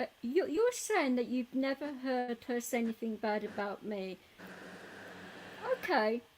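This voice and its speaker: Speaking at a fairly slow pace, a woman's high-pitched voice comes through noticeable background noise. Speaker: live streamer, DJ. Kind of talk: casual chat. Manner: soft-spoken.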